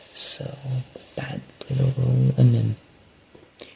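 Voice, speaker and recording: A soft-spoken man at a moderate pace, amid noticeable background noise. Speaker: podcast host. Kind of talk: casual monologue update. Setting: at home at night. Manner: halting.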